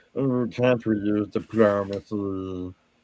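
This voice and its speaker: A man does a put-on character voice, fairly low in pitch and at a fairly slow pace. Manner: whining, reluctant.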